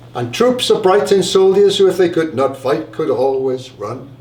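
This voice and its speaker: A man speaks against noticeable background noise. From Wales. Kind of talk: live story reading.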